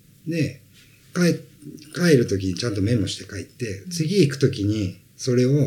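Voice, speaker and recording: A somewhat breathy man's voice of medium pitch with very wide pitch swings. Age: 40s. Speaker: sales trainer. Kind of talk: interview.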